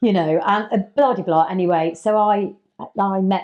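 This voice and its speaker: In an English accent, a woman speaks at a medium pitch. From England, working-class family of Irish parents. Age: 60s. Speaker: estate agent and mentor. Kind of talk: podcast interview. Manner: casual, conversational.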